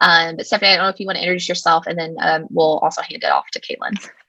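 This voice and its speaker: With a slight Texan accent, a woman talks in a fairly low pitch and a bright, sharp tone, her intonation fairly even. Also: dry, close sound with no echo. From Texas. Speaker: education company representative, former teacher. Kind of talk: webinar presentation.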